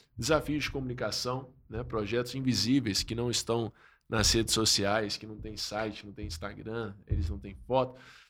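Speaking at a medium pitch with ordinary pitch variation, a man shows vocal fry. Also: moderate pace. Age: 30s. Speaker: pastor and social-enterprise founder. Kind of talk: casual chat.

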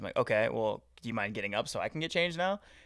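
Bright and sharp in tone, a man with an American accent races along at a very fast pace with lively intonation on a very clean recording with a silent background. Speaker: professional wrestler. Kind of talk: casual interview.

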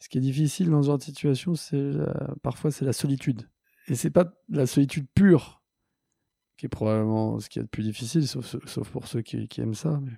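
A man's dark, mellow voice at medium pitch, fairly quick in pace, with ordinary pitch variation. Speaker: social entrepreneur. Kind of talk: interview. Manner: halting, many repetitions.

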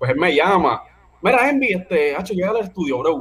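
Very fast speech from a man, high in pitch and full of very wide pitch swings. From Puerto Rico, Levittown; partly raised abroad (army family). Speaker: music producer and rapper. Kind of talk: casual interview chat.

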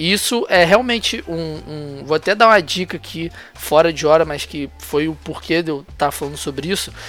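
A man talks in a normal speaking voice at a moderate pace, with hardly any pauses. His pitch is fairly high, with ordinary variation. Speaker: football podcast host. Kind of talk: casual chat.

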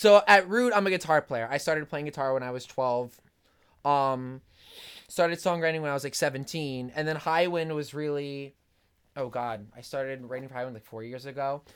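A man with a plain, everyday voice speaks at a fairly quick pace, his fairly high pitch showing ordinary variation. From New Jersey. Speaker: pop punk singer and musician. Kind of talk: casual interview.

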